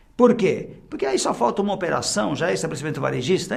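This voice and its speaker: A man speaks with an interior São Paulo accent. The room echo is audible. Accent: Sorocaba regional accent (interior São Paulo). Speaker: tax instructor. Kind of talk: lecture.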